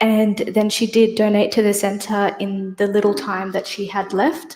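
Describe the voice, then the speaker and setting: Talking at a fairly slow pace, a woman speaks in an Australian accent. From Australia, Sydney. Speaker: poet. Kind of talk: poetry reading.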